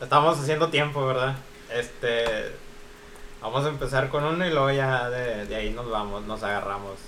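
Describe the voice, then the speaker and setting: A man with a Mexican accent speaks at a moderate pace and a medium pitch, his pitch varying in an ordinary way, with audible room echo and noticeable background noise. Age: 20s. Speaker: podcast co-host. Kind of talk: casual chat.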